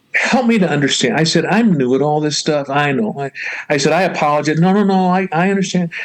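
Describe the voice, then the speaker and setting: The man's voice, fairly high in pitch with ordinary variation, races along very fast amid noticeable background noise. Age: 70s. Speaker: pastor. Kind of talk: casual interview.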